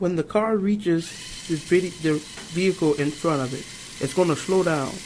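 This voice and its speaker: A high-pitched male voice at a moderate pace, with ordinary pitch variation and noticeable background noise. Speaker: university student. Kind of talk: class project presentation.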